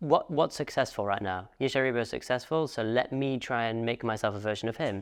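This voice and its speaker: A man with an ordinary speaking voice talks at medium pitch and a fairly quick pace, with ordinary pitch variation and hardly any pauses. The background is quiet. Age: young. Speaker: podcast host. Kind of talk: casual interview chat.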